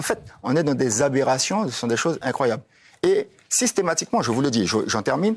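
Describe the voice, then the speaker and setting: This man talks at a fairly quick pace. His fairly high voice makes very wide pitch swings. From French Guiana. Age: 60s. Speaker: politician. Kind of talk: TV panel debate. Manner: animated.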